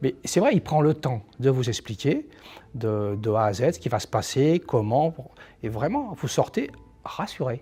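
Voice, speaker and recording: A man speaks at a fairly slow pace in a somewhat breathy, dark, mellow voice of medium pitch with lively intonation, on a very clean recording with a silent background. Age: 60s. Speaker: patient. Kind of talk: testimony. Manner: halting.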